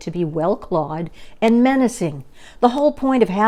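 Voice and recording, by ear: The voice is reading aloud in a natural voice with lively intonation.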